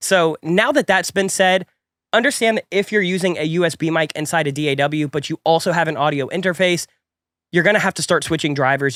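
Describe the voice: In a very clean recording with a silent background, a man talks fast at a fairly high pitch, his tone fairly bright and his intonation fairly even.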